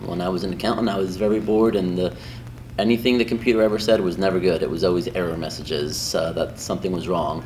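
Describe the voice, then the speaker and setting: Over music in the background, a man talks at a very fast pace, and audible room echo surrounds his voice. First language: Spanish. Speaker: high school Spanish teacher. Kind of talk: interview answers. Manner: casual, many filler ums.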